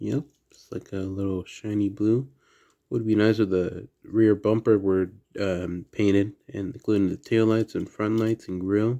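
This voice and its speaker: A quiet man with an American accent speaks at a fairly slow pace in a fairly low pitch. His tone is dark and mellow, and his intonation fairly even. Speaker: diecast toy collector YouTuber. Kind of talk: casual unboxing video. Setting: at home at night. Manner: quiet indoor voice.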